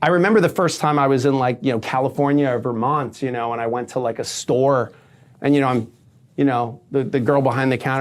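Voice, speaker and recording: In a very clean recording with a silent background, a man with a New York accent talks very fast at a fairly high pitch. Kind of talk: casual chat. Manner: animated.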